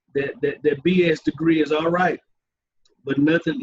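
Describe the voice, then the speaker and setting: The sound is dry and close with no echo as a man with an American accent speaks at a moderate pace. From US South, Dallas, Texas. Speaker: high school football coach. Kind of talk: interview conversation. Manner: halting, many repetitions.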